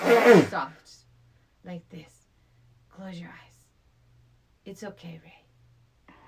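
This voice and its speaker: A put-on, raspy character voice, female-sounding and medium in pitch for a woman, at a very slow pace with long, frequent pauses. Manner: soft, sensual, coaxing.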